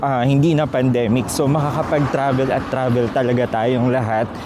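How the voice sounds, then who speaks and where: Against noticeable background noise, a man speaks at medium pitch and a fairly slow pace. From Philippines. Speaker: travel vlogger. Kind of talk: travel vlog. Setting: outdoors, airport. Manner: lowered voice.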